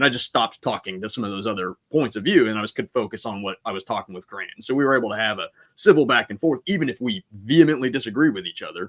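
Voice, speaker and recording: Someone with an American accent talks at a very fast pace with hardly any pauses and lively intonation. The sound is dry and close with no echo. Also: man, medium pitch for a man, big swings in loudness. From Iowa, US Midwest. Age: 40s. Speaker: army veteran and realtor. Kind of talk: casual chat.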